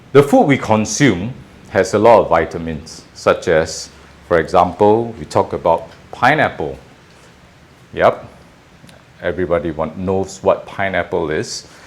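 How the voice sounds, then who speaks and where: Against noticeable background noise, a man with a very deep, low pitch speaks with lively intonation at a fairly slow pace, leaving long, frequent pauses. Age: 50s. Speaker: caregiver and painter. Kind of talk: casual cooking talk to camera.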